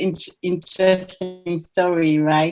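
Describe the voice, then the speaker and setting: Speaking at a fairly slow pace, a woman has a strong French accent. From France. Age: 40s. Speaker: Olympic athlete and coach. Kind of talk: interview. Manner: halting.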